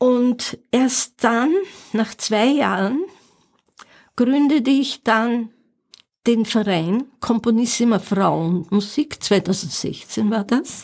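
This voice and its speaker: A woman's fairly high voice at a very slow pace, with long, frequent pauses and very even loudness, in a very clean recording with a silent background. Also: ordinary pitch variation. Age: 70s. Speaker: pianist and music teacher. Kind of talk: interview. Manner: halting.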